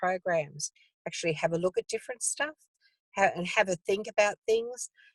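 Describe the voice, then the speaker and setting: A woman with an Australian accent in a dry, close sound with no echo. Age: 70s. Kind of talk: casual interview conversation. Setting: video call from a car.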